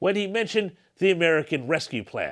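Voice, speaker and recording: The speaker is a man. The background is quiet. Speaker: political commentator. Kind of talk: political commentary narration. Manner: sarcastic.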